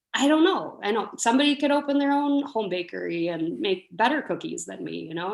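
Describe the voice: A woman speaks with lively intonation. Her voice has vocal fry.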